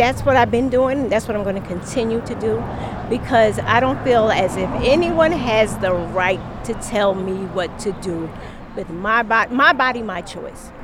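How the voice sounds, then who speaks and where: The speaker sounds animated, with ordinary pitch variation at a moderate pace. Noticeable background noise runs underneath. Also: woman, fairly high pitch for a woman. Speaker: podcaster and protester. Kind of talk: street interview. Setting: outdoors at a street protest.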